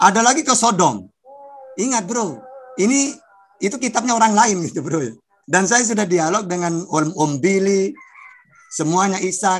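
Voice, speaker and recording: A moderate pace with long, frequent pauses. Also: man, high pitch for a man. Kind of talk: religious debate. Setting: video call. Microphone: video call.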